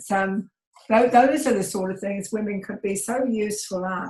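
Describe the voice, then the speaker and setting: A woman speaks at a medium pitch and moderate pace, somewhat breathy, with fairly even intonation. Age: 70s. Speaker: community participant. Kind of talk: group discussion.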